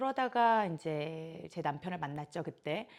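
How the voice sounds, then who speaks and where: Recorded very cleanly against a silent background, a woman speaks in an ordinary speaking voice at a moderate pace with lively intonation. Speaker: yoga instructor. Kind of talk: casual vlog monologue.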